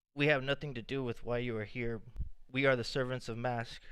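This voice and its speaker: Robotic and put on, this character voice belongs to a man. It has a medium pitch and a fairly quick pace. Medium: actual play. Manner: robotic, flat, prophetic.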